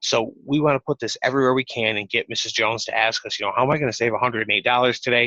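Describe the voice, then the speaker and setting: A man's bright, sharp voice in an American accent, medium in pitch, at a very fast pace with hardly any pauses. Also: fairly even intonation, dry, close sound with no echo. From New York. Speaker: software sales rep. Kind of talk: sales demo over a call. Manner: fast-talking.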